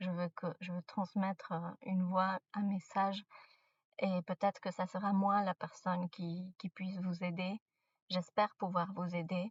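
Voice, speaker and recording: A woman with a non-native accent speaks at a fairly slow pace in a monotone, flat intonation. Her voice sits at a medium pitch and sounds somewhat breathy. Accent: non-native French, out of practice. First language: not French; mainly speaks English and Spanish (speaking French). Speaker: spiritual content creator. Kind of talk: casual spiritual advice monologue. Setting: in a car. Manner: halting, many hesitations.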